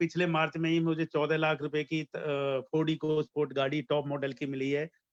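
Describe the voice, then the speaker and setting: A man uses a normal speaking voice at a fairly high pitch. His intonation stays fairly even, and the sound is dry and close with no echo. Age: 60s. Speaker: network marketing distributor. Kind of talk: testimony. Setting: online video event.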